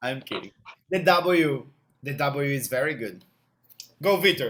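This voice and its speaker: With a Portuguese accent, a man speaks fairly slowly, his pitch varying in an ordinary way. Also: fairly high pitch for a man. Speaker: English teacher. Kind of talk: online English class.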